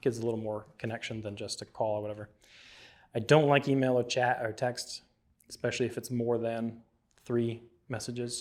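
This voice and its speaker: A man at medium pitch in a flat monotone, fairly quick, with big loudness swings and long, frequent pauses. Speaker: filmmaker teaching a class. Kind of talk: lecture. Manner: mumbles at times; casual, conversational.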